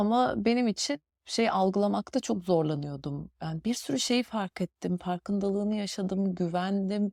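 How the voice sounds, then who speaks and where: In a very clean recording with a silent background and a dry, close sound free of echo, a woman speaks at a moderate pace in a dark, mellow tone, hardly pausing at all. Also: medium pitch for a woman, ordinary pitch variation. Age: 40s. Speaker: podcast host. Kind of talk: personal reflective monologue. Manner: hesitant, many fillers.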